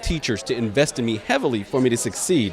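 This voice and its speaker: A man talks at a very fast pace with an Arabic accent. His intonation is lively. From Iraq, raised in Dayton, Ohio from age ten. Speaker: political candidate and attorney. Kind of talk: interview. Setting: event venue.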